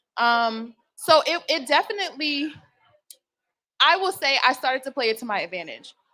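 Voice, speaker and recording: A woman with an American accent projects a raised, high voice with a bright, sharp tone and very wide pitch swings. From Boston, Roxbury. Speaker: HBCU alumni network founder. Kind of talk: panel discussion.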